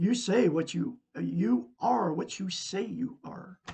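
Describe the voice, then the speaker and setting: A man with very wide pitch swings. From Oregon, US. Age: 60s. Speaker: self-help teacher. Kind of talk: live stream talk. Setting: live video stream.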